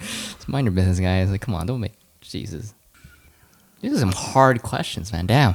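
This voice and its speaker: Pausing long and often, a man talks at a moderate pace with a fairly low pitch and ordinary pitch variation. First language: Mandarin. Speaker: podcast co-host. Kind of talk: casual chat.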